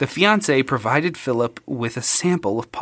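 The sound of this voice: Lively intonation carried by an unforced reading voice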